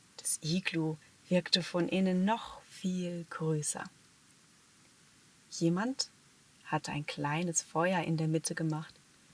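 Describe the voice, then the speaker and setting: With a calm tone, a somewhat breathy woman speaks very slowly at fairly low pitch with ordinary pitch variation. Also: long, frequent pauses. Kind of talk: sleep story. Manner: calm, soft-spoken.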